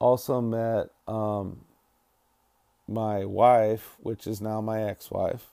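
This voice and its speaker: In an American accent, a man with a fairly low pitch and a dark, mellow tone speaks at a very slow pace in a flat monotone, leaving long, frequent pauses. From Northern California, Ukiah. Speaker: podcast host in addiction recovery. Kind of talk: personal testimony monologue. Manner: casual with frequent fillers.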